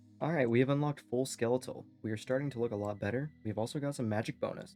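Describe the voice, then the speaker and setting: Backed by music, a man speaks at a very fast pace. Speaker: gaming YouTuber. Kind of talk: gameplay commentary. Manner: inconsistent volume, some clips loud, some quiet; not enunciating clearly.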